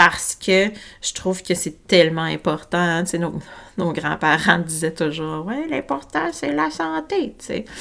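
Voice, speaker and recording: The speaker has a Quebec accent and a bright, sharp tone. The pace is fairly slow. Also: woman, fairly low pitch for a woman. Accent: Québécois French. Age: 40s. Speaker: holistic health coach and podcast host. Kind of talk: solo podcast monologue. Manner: spontaneous, casual with fillers; animated, gesticulating.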